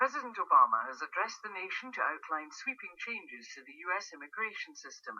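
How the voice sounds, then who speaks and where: A woman at a very fast pace with hardly any pauses and big swings in loudness. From Scotland. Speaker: newsreader. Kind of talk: radio news bulletin.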